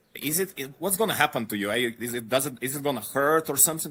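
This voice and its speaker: In a very clean recording with a silent background, a man with a slight Eastern European accent speaks in a bright, sharp tone with ordinary pitch variation. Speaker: podcast guest, traveler. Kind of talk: casual interview chat.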